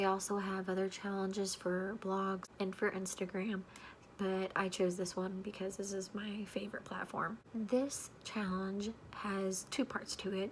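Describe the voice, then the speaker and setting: Over noticeable background noise, a woman talks at medium pitch in a monotone, flat way. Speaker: book youtuber. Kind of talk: casual vlog talk. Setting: home with people sleeping. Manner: quiet.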